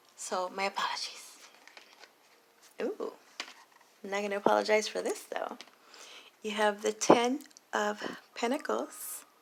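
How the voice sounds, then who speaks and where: A woman talks while background noise is noticeable throughout. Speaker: tarot reader. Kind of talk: tarot reading monologue. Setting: recording late at night at home. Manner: quiet, keeping voice down.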